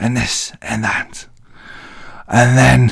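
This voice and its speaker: Speaking at a very slow pace, a man talks in an English accent. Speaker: wrestling vlogger. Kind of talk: casual show recap. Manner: animated.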